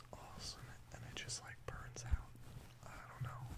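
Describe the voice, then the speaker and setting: Loud background noise fills the clip. A man talks at a moderate pace. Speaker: vlogger. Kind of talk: casual vlog chat. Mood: reflective, slightly low-key. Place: home room.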